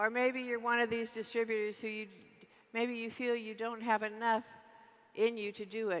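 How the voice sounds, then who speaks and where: A soft-spoken woman talks in a monotone, flat way. Her speech is broken by long, frequent pauses. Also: fairly high pitch for a woman, moderate pace. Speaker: network marketing distributor. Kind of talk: convention keynote speech. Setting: large convention hall PA.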